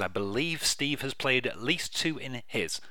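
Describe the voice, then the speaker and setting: A man is whispering. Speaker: radio host. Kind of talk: radio dj patter. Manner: relaxed, chatty, casual.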